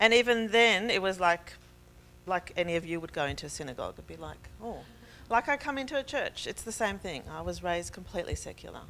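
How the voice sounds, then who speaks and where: Talking at a very fast pace with an Australian accent, a woman with a medium pitch and a bright, sharp tone shows lively intonation, vocal fry and big swings in loudness. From Israel and Australia. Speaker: faith speaker. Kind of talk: testimony.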